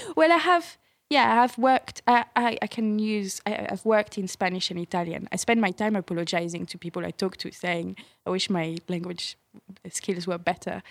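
In a French accent, a woman of medium pitch speaks at a moderate pace with ordinary pitch variation, and the sound is dry and close with no echo. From France. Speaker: TV producer. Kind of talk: casual interview.

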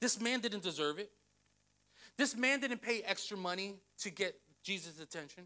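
A man's raised, projected voice, bright and sharp in tone, animated, with lively intonation. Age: 30s. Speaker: pastor. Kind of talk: sermon.

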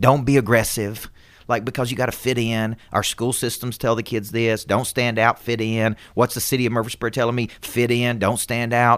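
The recording is very clean, with a silent background. The delivery is monotone with flat intonation, at a moderate pace. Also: man, medium pitch for a man. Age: 40s. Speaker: business coach and motivational speaker. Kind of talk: podcast interview.

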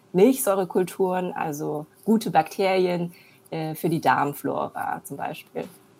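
At a fairly slow pace, a woman of medium pitch speaks in a plain, everyday voice with ordinary pitch variation. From Germany, born in China. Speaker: entrepreneur, serial founder. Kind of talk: interview. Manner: many filler sounds.

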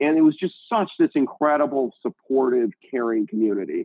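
A man with an American accent, a normal speaking voice, and ordinary pitch variation. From Indiana, US Midwest. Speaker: tech company CEO. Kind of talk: interview.

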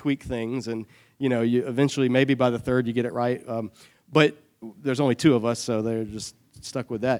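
In an unremarkable speaking voice with an American accent, the speaker talks at a fairly quick pace with fairly even intonation, in a dry, close sound with no echo. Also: man. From US South, Savannah, Georgia. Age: 30s. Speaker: church adult education teacher. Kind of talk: Bible study lecture. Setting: church classroom with audience.

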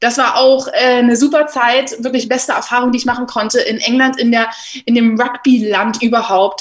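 Over noticeable background noise, a woman speaks at a high pitch and a moderate pace. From Germany, Berlin. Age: 20s. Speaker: rugby player and journalist. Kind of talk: casual interview. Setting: home office.

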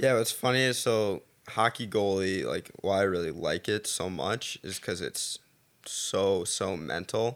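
Speaking at a fairly slow pace, a man with an ordinary speaking voice and fairly low pitch uses ordinary pitch variation on a very clean recording with a silent background. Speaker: college athlete. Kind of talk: casual chat.

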